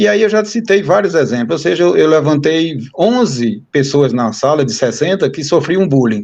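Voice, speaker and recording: Speaking at a moderate pace in a northeastern Brazilian accent, a man with a fairly high pitch makes very wide pitch swings. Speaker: university professor. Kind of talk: interview conversation.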